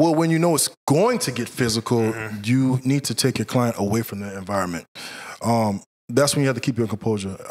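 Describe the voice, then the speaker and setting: The speaker has an American accent and talks at a very fast pace. Pitch variation is ordinary. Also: man, medium pitch for a man. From Central Florida. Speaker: bodyguard. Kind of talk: casual interview.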